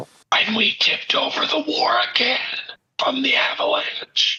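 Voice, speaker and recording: Whispering in a raspy, put-on character voice, a man speaks at a moderate pace. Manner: whispering secretively.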